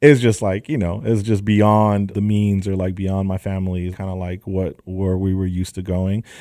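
In a Southern California accent, a man with a very deep, low pitch and a dark, mellow tone speaks at a moderate pace with fairly even intonation and hardly any pauses, on a very clean recording with a silent background. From San Fernando Valley, Los Angeles. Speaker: sneaker store owner. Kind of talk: casual interview.

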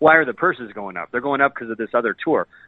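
A man speaks with an American accent and an unremarkable speaking voice. His pitch varies in an ordinary way. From US West Coast, San Diego. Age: 40s. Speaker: golf pro. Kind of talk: casual chat.

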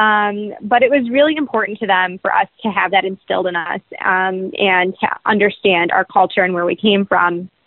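A woman at medium pitch, speaking with hardly any pauses. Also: ordinary pitch variation, moderate pace. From US Midwest, Metro Detroit, Michigan. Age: 20s. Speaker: state legislator. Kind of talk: interview. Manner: many filler ums.

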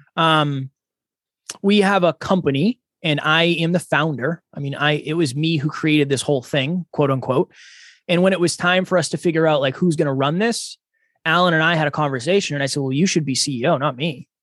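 A man with a plain, everyday voice and an American accent speaks at a fairly quick pace with fairly high pitch and ordinary pitch variation, recorded with a dry, close sound with no echo against a quiet background. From Massachusetts, US. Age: 30s. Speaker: podcaster and speaker. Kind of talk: interview.

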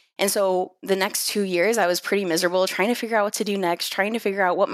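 A woman with an unremarkable speaking voice talks at a fairly quick pace, medium in pitch, with ordinary pitch variation. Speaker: email marketer. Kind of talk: casual interview.

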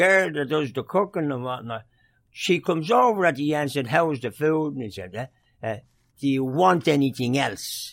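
A strong Dublin accent at a moderate pace, with lively intonation, on a very clean recording with a silent background. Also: man, fairly high pitch for a man. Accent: Irish, Dublin, still strong. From Dublin, Ireland. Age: 70s. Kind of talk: casual interview, storytelling.

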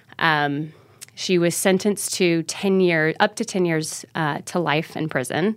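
On a very clean recording with a silent background, a woman uses a plain, everyday voice, fairly low in pitch, with ordinary pitch variation and a fairly slow pace. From US South, Mobile, Alabama. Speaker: actor and filmmaker. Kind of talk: storytelling interview.

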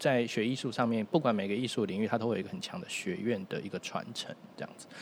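Using a plain, everyday voice, a man speaks at medium pitch with lively intonation. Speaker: saxophonist, musician. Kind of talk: casual chat.

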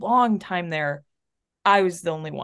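Over a quiet background, a woman speaks in an American accent at a medium pitch. Her pitch varies in an ordinary way. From North Texas, Chilean family. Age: 30s. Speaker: abortion fund volunteer and coach. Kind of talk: interview conversation.

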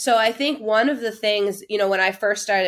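A woman with a plain, everyday voice and an American accent, fairly high in pitch and fairly quick in pace, on a very clean recording with a silent background. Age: 30s. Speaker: sales coach and consultant. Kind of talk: casual interview.

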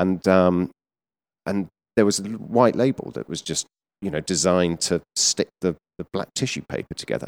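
A man with a British accent speaks at a moderate pace with long, frequent pauses. His voice is very deep and low, with ordinary pitch variation. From southern England, Surrey. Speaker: menswear retail executive. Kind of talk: interview. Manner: hesitant, many fillers.

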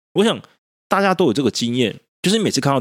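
Very wide pitch swings mark this man's speech. The recording is very clean, with a silent background. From Taiwan. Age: 30s. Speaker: podcast host. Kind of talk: solo monologue podcast.

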